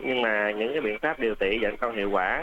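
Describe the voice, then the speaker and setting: This man's voice has a bright, sharp tone. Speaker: doctor. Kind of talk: radio health advice interview. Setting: radio studio.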